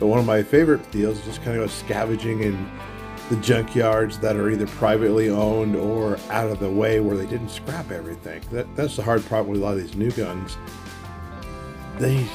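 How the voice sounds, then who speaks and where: A man with an American accent at a fairly quick pace, fairly low in pitch with ordinary pitch variation, music in the background. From Arizona. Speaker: junkyard relic hunter. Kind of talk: casual talk to camera. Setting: outdoors.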